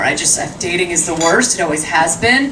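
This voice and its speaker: A woman talks at a very fast pace with lively intonation. Noticeable background noise runs behind her. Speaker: stand-up comedian. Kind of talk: stand-up comedy routine. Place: stage.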